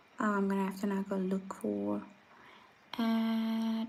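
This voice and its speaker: Somewhat breathy and flat in a monotone, a woman talks at a fairly slow pace. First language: Afrikaans. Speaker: vlogger. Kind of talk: casual chat. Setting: livestream. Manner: hesitant, many fillers.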